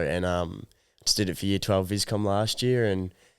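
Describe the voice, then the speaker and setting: In an Australian accent, a man talks at a moderate pace with a very deep, low pitch. The recording is very clean, with a silent background. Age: 20s. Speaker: young clothing brand founder. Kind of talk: interview. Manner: casual, hesitant with fillers.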